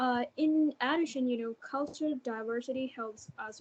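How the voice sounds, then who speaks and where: A woman with a Thai accent, high in pitch and fairly slow in pace. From Thailand. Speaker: university student. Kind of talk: interview. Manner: halting, many fillers.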